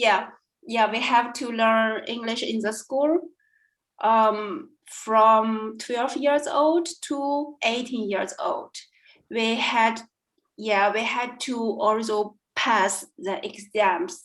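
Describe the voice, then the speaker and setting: This woman's pitch sits fairly high. She speaks at a very slow pace. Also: ordinary pitch variation. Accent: Chinese. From China. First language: Chinese. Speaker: language student. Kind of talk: interview. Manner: halting, many fillers.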